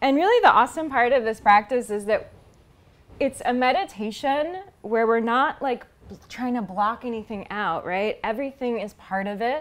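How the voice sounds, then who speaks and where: Her pitch swings very widely as the woman speaks in a high voice. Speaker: yoga instructor. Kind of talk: guided yoga instruction. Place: home room.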